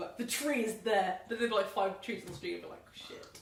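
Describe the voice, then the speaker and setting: Against noticeable background noise, a woman at medium pitch talks at a very fast pace with ordinary pitch variation. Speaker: podcast host. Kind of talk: casual chat. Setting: home podcast setup with microphones. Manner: loud; animated.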